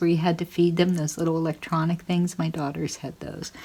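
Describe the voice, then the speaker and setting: A woman is talking at a fairly low pitch. Her voice is somewhat breathy. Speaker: fiber arts maker and vlogger. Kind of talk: casual vlog. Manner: chatty, rambling.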